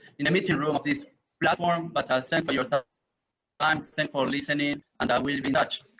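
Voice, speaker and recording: With an Argentine accent, a man speaks at a fairly quick pace in a bright, sharp tone, his fairly high pitch carried on fairly even intonation. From Argentina. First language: Spanish. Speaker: renewable energy project manager. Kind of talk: conference Q&A. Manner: halting, with many repeated words and fillers.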